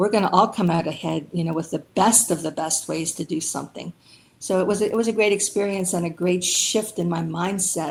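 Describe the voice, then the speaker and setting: At a fairly quick pace, a woman with a Pennsylvania accent talks in a fairly low pitch marked by vocal fry. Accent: Pennsylvania American English. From rural Pennsylvania. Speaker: Air Force veteran, aircraft mechanic. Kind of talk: interview answer.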